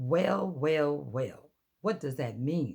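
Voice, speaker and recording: Putting on a character voice, a man speaks in a gruff, fairly high pitch with lively intonation. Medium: read story. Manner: gruff, irritable.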